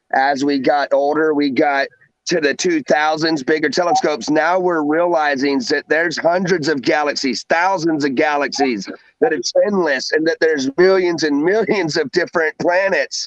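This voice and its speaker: A man with a Southern US accent speaks in an animated tone at a moderate pace and fairly high pitch. The sound is dry and close with no echo, and his loudness stays very even. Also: ordinary pitch variation. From US South. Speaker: livestream host. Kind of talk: casual chat. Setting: livestream.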